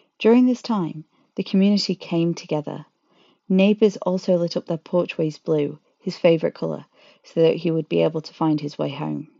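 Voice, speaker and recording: With an unremarkable speaking voice, a woman talks at a moderate pace, her fairly low pitch showing ordinary variation. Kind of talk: true-crime narration. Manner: grave, measured storytelling tone with emotional, indignant edge.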